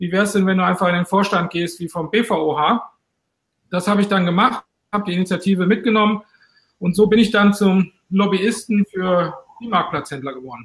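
Talking at a fairly quick pace, a man with a high pitch shows ordinary pitch variation. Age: 50s. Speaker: trade association president. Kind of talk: interview.

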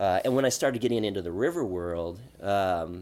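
An ordinary speaking voice with an American accent moves at a moderate pace with lively intonation. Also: man. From Oregon high desert. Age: 40s. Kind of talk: casual interview.

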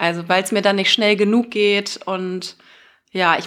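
A woman's medium-pitched, monotone voice with flat intonation, at a moderate pace. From Germany, Bonn. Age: 30s. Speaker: radio host and fashion label founder. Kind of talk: casual interview. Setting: in-person studio recording.

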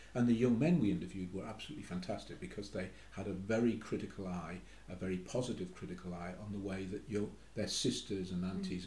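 Very fast and very deep, a man with a Geordie accent and a dark, mellow tone speaks with audible room echo. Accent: Geordie (Newcastle) English. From Newcastle, northeast England. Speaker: academic researcher. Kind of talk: casual chat.

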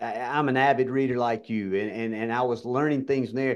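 A man at a fairly quick pace with a Southern US accent, quiet background. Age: 50s. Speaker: pharmacy business owner and keynote speaker. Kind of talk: interview.

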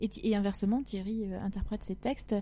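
A woman's fairly high-pitched, somewhat breathy voice with a dark, mellow tone, fairly even intonation and a fairly quick pace. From southwest France (Agen, Lot-et-Garonne). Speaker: singer-songwriter. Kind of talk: interview.

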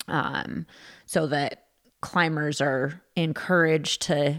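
The speaker is a woman with an American accent. The recording is very clean, with a silent background. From California. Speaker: climbing nonprofit director. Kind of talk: casual chat.

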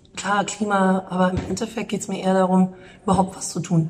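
At a fairly quick pace, a woman speaks in a somewhat breathy voice with monotone, flat intonation. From Munich, Bavaria. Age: 30s. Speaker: calligrapher and artist. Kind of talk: interview.

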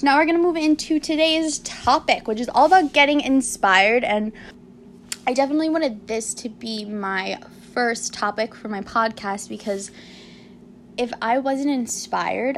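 Lively intonation from a woman at a fairly high pitch, a moderate pace, with noticeable background noise. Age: 20s. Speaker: podcast host and lifestyle blogger. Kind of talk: casual solo chat.

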